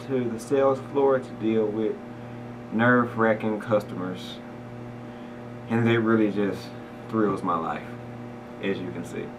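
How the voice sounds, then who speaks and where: A soft-spoken man with an American accent talks at a fairly slow pace and a fairly low pitch, with ordinary pitch variation. Audible room echo and noticeable background noise surround him. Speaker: rapper. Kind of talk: documentary interview. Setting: workplace office.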